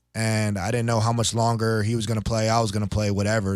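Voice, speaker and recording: A man with an American accent has a plain, everyday voice, fairly low in pitch and fairly quick in pace. The recording is very clean, with a silent background. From South Jersey, US. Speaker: professional football player. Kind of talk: podcast interview. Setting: studio.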